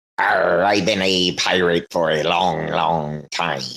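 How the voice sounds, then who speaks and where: A man puts on a character voice that is raspy and very deep, low in pitch. He delivers it at a fairly slow pace. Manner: gruff, playful.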